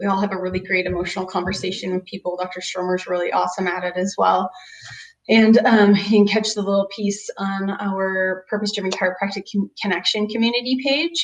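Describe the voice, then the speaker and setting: A woman in an ordinary speaking voice talks at a fairly quick pace, her medium pitch held in fairly even intonation. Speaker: chiropractor. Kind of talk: webinar presentation. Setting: video webinar.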